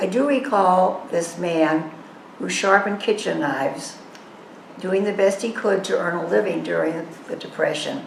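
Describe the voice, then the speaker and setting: With an American accent, a woman talks at medium pitch and a moderate pace with ordinary pitch variation, amid audible room echo and noticeable background noise. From Massachusetts, Boston area. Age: 80s. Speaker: assisted living resident sharing memories. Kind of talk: reading a prepared memoir aloud.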